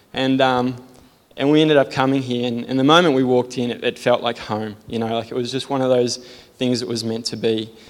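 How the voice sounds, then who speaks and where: Monotone, flat intonation from a man at a fairly quick pace. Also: medium pitch for a man. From Sydney, Australia. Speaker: church member giving testimony. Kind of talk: testimony. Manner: self-deprecating, nervous.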